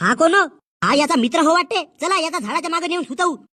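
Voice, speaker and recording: A woman uses a put-on character voice, loud and at an extremely high pitch. She speaks at a moderate pace with ordinary pitch variation. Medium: comedy sketch. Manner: loud, crude, scolding.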